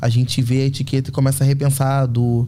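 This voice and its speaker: Speaking at a fairly quick pace, the man has a dark, mellow tone that is somewhat breathy, with fairly even intonation. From Rio de Janeiro, north zone. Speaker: fashion artist and communicator. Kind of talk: interview conversation.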